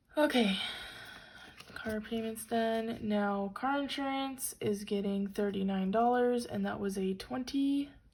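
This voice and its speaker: A woman with a fairly high pitch talks at a fairly slow pace, somewhat breathy, her pitch varying in an ordinary way. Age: 20s. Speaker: college student. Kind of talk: casual budgeting talk to camera. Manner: upbeat.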